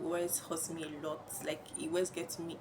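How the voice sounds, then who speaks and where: Noticeable background noise fills the clip. Through it, a woman talks at a fairly low pitch. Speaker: vlogger. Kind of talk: personal vlog monologue. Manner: slow; halting.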